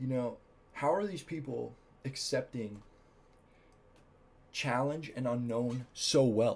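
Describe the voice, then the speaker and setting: A man talks at a very slow pace, with long, frequent pauses. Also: medium pitch for a man, ordinary pitch variation. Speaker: vlogger. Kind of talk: casual monologue vlog. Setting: at home late at night on camera. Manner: casual, hesitant with fillers.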